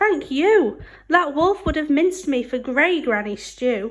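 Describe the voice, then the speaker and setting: A woman puts on a character voice, high-pitched, speaking at a fairly slow pace. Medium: read story.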